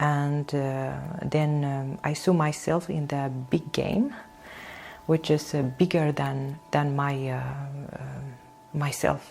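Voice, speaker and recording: With a Kurdish accent, a woman speaks very slowly in a very deep, low pitch and fairly even intonation. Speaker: painter and singer. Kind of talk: interview. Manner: halting, many hesitations.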